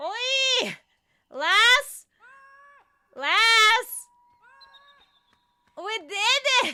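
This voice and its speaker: An extremely high-pitched, put-on character voice. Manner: exaggerated, excited.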